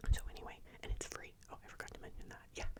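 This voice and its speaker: A whisper against noticeable background noise. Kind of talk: ASMR soft-spoken ramble to camera. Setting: close-up microphone. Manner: soft-spoken, slow, calm.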